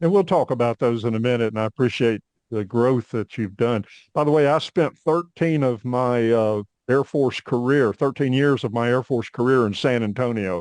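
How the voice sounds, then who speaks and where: An ordinary speaking voice from a man, medium in pitch, with ordinary pitch variation and a moderate pace, dry and close with no echo over a quiet background. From US South, Northwest Arkansas. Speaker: podcast host, Air Force veteran. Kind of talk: podcast interview.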